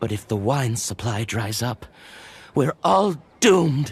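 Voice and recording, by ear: Using a put-on character voice with a slightly husky edge, a man speaks slowly at a medium pitch, with big pitch swings.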